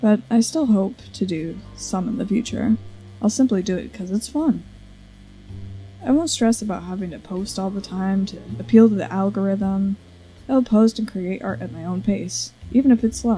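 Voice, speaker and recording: With music in the background, a woman at medium pitch talks at a moderate pace with lively intonation and big swings in loudness. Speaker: content creator. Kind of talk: casual talk to camera. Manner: stutters.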